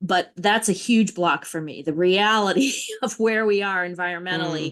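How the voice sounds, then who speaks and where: This woman has a normal speaking voice. Her pitch sits in the medium range. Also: ordinary pitch variation, moderate pace. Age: 60s. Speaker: landscape designer and workshop leader. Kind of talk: group workshop sharing.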